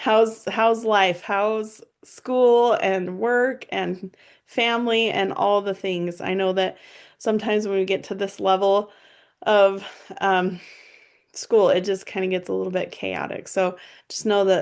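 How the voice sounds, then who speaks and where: A woman with a plain, everyday voice speaks at medium pitch and a fairly slow pace, with fairly even intonation against a quiet background. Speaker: college instructor. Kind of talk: recorded course overview lecture. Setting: screen-shared video lesson. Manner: casual, friendly with many fillers.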